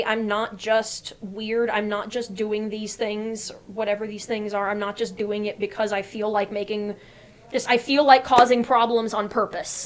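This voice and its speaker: With an American accent, the voice holds a flat, monotone intonation throughout. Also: woman. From Annandale, Virginia, USA. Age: 20s. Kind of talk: interview answer. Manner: casual, hesitant.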